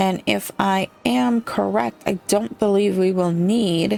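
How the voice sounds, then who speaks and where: Over music in the background, a woman with a fairly low pitch speaks at a very slow pace in a calm, relaxed tone with lively intonation. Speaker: gaming streamer. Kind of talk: let's play commentary.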